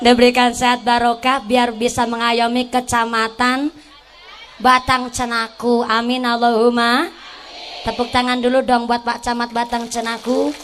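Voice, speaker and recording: A woman speaks at a fairly high pitch and a moderate pace. Noticeable noise sits in the background. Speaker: female Islamic preacher. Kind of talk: sermon. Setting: stage with audience, PA system.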